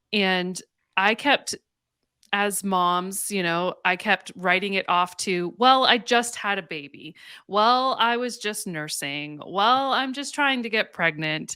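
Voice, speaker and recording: A woman's medium-pitched, bright, sharp voice with a slight Canadian accent, lively intonation and a very slow pace, in a very clean recording with a silent background. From western Canada, Calgary, Alberta. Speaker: counselor and faith-based mental health coach. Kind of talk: podcast interview.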